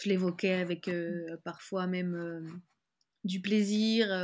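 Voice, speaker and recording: Fairly even intonation in a woman's somewhat breathy voice. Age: 30s. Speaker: author and graphic designer. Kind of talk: personal testimony interview. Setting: video call.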